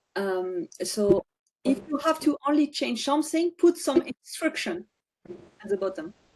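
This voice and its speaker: Pitched high, a woman speaks at a fairly slow pace with very wide pitch swings. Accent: non-native. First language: not English. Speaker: data visualization expert. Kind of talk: webinar Q&A; discussion explanation. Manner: halting. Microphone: video call.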